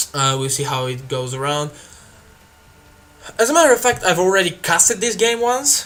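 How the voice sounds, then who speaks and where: Talking at a fairly quick pace, a man speaks with a Bulgarian accent. His intonation is lively. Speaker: video game commentator. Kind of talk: live game commentary. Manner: hesitant, many fillers.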